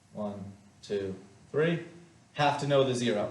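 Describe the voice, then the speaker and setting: A man talks with ordinary pitch variation while noticeable background noise and audible room echo fill the recording. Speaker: math teacher. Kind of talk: lecture.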